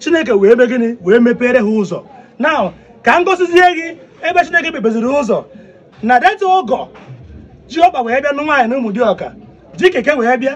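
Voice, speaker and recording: The tone is animated and the intonation lively. The pace is moderate. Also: man, extremely high pitch for a man. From Nigeria, Igbo southeast. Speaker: vlogger; comedian in a skit. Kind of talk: walking tour commentary. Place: garden. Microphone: phone near.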